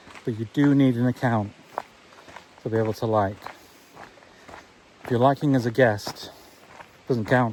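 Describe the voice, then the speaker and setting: The talking proceeds at a fairly slow pace, its pitch varying in an ordinary way, with noticeable background noise present. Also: man. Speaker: vlogger. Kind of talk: walking vlog monologue. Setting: outdoors, walking. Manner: calm, not giddy like a presenter.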